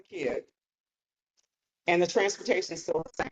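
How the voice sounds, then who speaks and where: A woman with a fairly low pitch speaks with ordinary pitch variation. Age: 60s. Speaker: state house candidate. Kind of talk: campaign speech with Q&A. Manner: halting.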